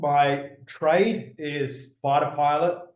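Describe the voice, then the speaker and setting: A man with an Australian accent, audible room echo around his voice. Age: 40s. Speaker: former fighter pilot and business speaker. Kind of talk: interview conversation. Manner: many fillers and false starts.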